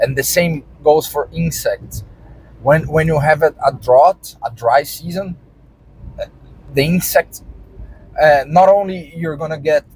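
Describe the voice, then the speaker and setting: A man's fairly high-pitched voice with a Brazilian Portuguese accent, fairly slow pace, long, frequent pauses and ordinary pitch variation. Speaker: vlogger and farmer. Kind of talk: casual vlog monologue. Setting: in a car, driving. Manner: halting, many repetitions and fillers.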